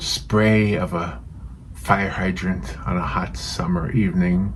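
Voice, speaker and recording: Over noticeable background noise, a man with a fairly low pitch speaks at a very slow pace. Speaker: painting channel host. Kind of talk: casual talk to camera, painting demonstration intro. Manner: gentle, relaxed.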